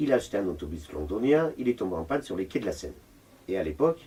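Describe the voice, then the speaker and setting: A man's voice comes through dark, mellow and somewhat breathy. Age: 60s. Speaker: retired full-time volunteer at a homeless mission. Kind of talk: interview. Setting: homeless shelter.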